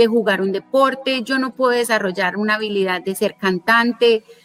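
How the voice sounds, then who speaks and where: Over music in the background, a woman with a fairly high pitch talks at a moderate pace, with ordinary pitch variation. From Colombia. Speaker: lawyer and digital business and personal finance educator. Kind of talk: interview.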